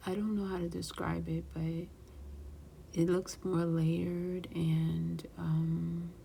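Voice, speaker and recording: Whispering and soft-spoken, the voice keeps a calm tone at a very slow pace. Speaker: craft YouTuber. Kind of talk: tutorial. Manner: whispering softly; calm, slow.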